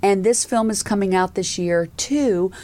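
A woman with an American accent, lively intonation and a moderate pace, on a very clean recording with a silent background. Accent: slight Southern US, comes out occasionally. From US South. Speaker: podcast host and angel investor. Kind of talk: interview podcast.

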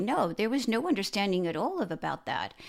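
A woman's fairly high voice at a moderate pace, with very wide pitch swings, on a very clean recording with a silent background. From immigrant to North America, arrived age 8-10. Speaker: podcast guest, host's mother. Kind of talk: interview. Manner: halting.

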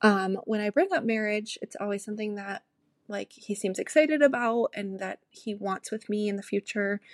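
An unremarkable speaking voice with ordinary pitch variation and big swings in loudness is captured dry and close, with no echo. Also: woman, fairly high pitch for a woman, moderate pace. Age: 20s. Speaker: listener voicemail caller. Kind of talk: voicemail.

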